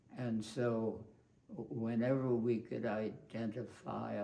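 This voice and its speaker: At a very slow pace, a man talks in a medium pitch with monotone, flat intonation. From Brooklyn, New York. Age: 80s+. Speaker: war veteran; behavioral scientist. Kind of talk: interview answer.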